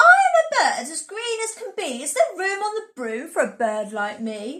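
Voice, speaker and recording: A woman speaks in a put-on character voice at an extremely high pitch. Her pitch swings very widely at a moderate pace. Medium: read story.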